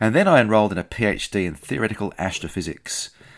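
A man with an Australian accent, at a fairly quick pace. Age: 50s. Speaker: podcast host, scientist and theology student. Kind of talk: scripted narration.

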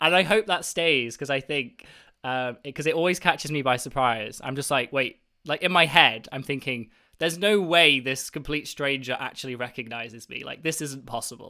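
On a very clean recording with a silent background, a man with a British accent speaks at a moderate pace, his fairly high voice bright and sharp in tone with ordinary pitch variation. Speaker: mathematician and university teacher. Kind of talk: casual interview. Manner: enthusiastic, animated.

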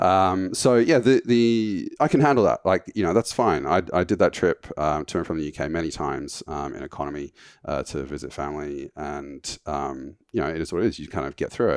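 A man's very deep, low voice at a fairly quick pace, lively intonation and hardly any pauses, dry and close with no echo against a quiet background. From United Kingdom. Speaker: founder of a travel points website. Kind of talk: casual interview. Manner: hesitant, many fillers.

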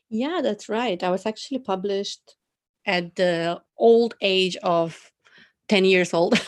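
Woman in a Macedonian accent, very slow pace, medium pitch, ordinary pitch variation. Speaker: poet and journalist. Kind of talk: casual interview.

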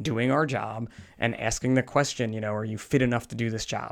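A medium-pitched man with an American accent and fairly even intonation, on a very clean recording with a silent background. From New Jersey. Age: 40s. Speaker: firefighter. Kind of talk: interview. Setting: clinic treatment room.

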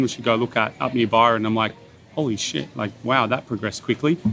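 A man's medium-pitched voice at a very fast pace. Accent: Australian. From Bathurst, New South Wales, Australia. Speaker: executive chef. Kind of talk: casual interview. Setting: outdoors at a beachside restaurant.

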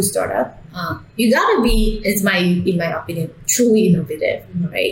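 A medium-pitched woman with a Vietnamese accent at a moderate pace, her intonation fairly even, over noticeable background noise. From Vietnam, Hanoi. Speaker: startup CEO. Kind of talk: interview. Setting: in person.

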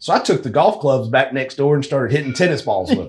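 A man speaks at a fairly quick pace and medium pitch. His voice is somewhat breathy. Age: 30s. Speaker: amateur golf tour director. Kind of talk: casual chat. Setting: golf simulator room.

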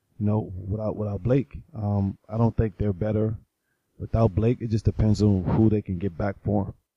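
Dry and close with no echo, a man's somewhat breathy, fairly low voice with a dark, mellow tone stays monotone and flat at a moderate pace. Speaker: co-host sports panelist. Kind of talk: casual sports chat.

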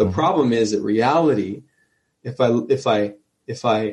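A speaker talks in a New Jersey accent at a moderate pace. The pitch shows ordinary variation. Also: man. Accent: New Jersey American. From New Jersey, US. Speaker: emergency physician. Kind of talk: interview conversation.

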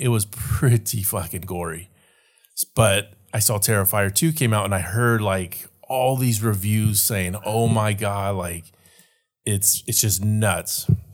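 This man has a plain, everyday voice and a fairly low pitch. He speaks at a fairly slow pace with fairly even intonation. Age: 40s. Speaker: podcast co-host. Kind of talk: casual chat.

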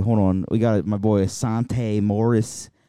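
Over a quiet background, a man with an American accent speaks in a dark, mellow tone at a fairly low pitch, with fairly even intonation. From US Midwest, a city. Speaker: podcast co-host. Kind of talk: casual chat.

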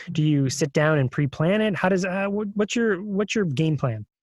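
Recorded with a dry, close sound and no echo, a man speaks at a moderate pace in a normal speaking voice with lively intonation. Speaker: podcast co-host. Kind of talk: casual chat.

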